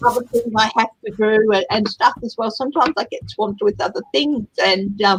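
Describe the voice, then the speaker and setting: Speaking in an Australian accent, a woman keeps a moderate pace with a fairly high pitch and hardly any pauses. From Australia (Tasmania family). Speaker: tarot reader. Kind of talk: casual chat.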